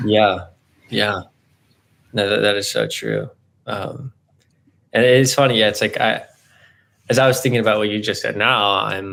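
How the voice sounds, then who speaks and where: A man with a fairly low, bright and sharp voice and vocal fry, at a moderate pace with long, frequent pauses. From Southern California. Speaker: graduate student and therapist-in-training. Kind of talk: casual interview conversation. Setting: video call. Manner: loud, bubbly; halting, many fillers.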